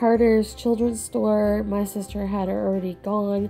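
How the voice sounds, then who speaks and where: With music in the background, a woman talks at a very slow pace. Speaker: planner hobbyist vlogger. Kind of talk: casual talk to camera.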